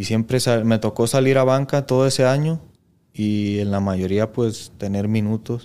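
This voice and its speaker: A man speaks at a fairly slow pace and medium pitch, with fairly even intonation. His tone is dark and mellow, and the recording is very clean with a silent background. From Mexico, Jalisco (Lagos de Moreno). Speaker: professional footballer. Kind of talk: casual interview chat.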